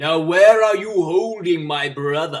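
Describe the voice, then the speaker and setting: Over light background noise, a man puts on a character voice, high-pitched and delivered at a fairly slow pace. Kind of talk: comic villain parody. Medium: solo performance.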